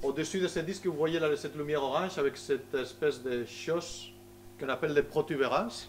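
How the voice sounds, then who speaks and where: A man with a Spanish accent at a moderate pace. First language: Spanish (speaking French). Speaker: solar physicist. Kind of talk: public lecture. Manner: halting, many hesitations.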